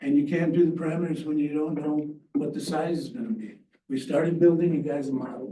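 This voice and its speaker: In a room with audible echo, a man with a fairly high pitch and a dark, mellow tone talks at a fairly quick pace. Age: 80s+. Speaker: landowner speaking at public comment. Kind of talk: public comment at a county meeting. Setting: county planning commission meeting.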